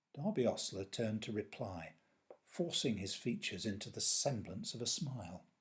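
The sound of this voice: The clip has an unforced reading voice.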